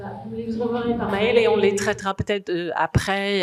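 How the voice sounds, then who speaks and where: The intonation rises and falls in a lively way. The voice belongs to a woman. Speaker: communication consultant presenting a wine association. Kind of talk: conference presentation. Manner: hesitant, many fillers.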